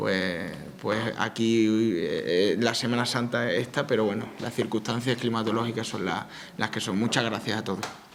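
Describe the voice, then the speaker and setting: Medium-pitched male voice at a moderate pace, with audible room echo and noticeable background noise. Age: young. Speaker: town mayor. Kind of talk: opening speech at a public event. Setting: conference hall with audience. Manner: halting, many repetitions.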